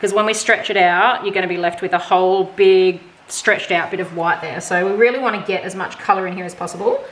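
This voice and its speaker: A woman speaks at a fairly quick pace with a strong Australian accent and ordinary pitch variation. Noticeable background noise sits behind her. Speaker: fluid art painter. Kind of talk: casual painting tutorial talk to camera. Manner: casual, chatty.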